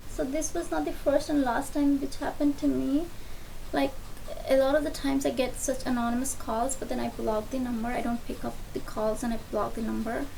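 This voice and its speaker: Someone whispers amid noticeable background noise and audible room echo. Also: woman, fairly quick pace. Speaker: beauty vlogger. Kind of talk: storytime monologue while doing makeup. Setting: at home at night. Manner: whispering. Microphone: faulty mic with bad noise.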